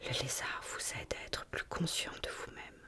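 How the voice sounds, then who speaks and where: A woman's very slow whisper against noticeable background noise. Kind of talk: ASMR whispered reading of symbolism notes. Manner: whispered, soft.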